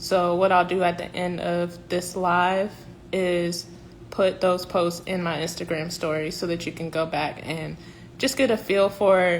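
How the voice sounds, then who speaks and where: A woman with an American accent speaks in a fairly low, flat monotone at a moderate pace. Audible room echo surrounds her voice. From South Carolina (Columbia). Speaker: professional organizer. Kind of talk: livestream announcement. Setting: Instagram live stream.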